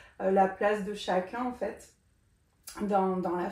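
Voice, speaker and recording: A woman's voice at medium pitch. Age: 40s. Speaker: doula. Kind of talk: interview. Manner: hesitant, many fillers.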